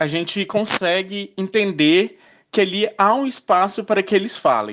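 A man with a high pitch at a fairly slow pace, over a quiet background. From Goiás, Brazil. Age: 20s. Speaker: journalist. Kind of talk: recorded testimony.

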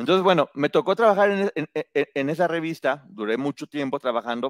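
A man with an unremarkable speaking voice talks at a fairly quick pace with lively intonation, recorded in a dry, close sound with no echo. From Mexico, provincial state. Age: 40s. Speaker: book reviewer and entertainment commentator. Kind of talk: casual chat.

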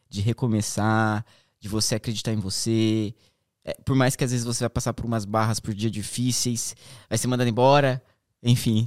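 A man with monotone, flat intonation at a moderate pace, in a dry, close sound with no echo and a very clean recording with a silent background. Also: medium pitch for a man. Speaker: podcast host. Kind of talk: casual chat.

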